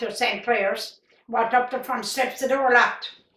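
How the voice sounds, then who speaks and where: A woman's high, bright, sharp voice in a Newfoundland accent, flat and monotone at a moderate pace. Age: 80s+. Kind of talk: interview answer.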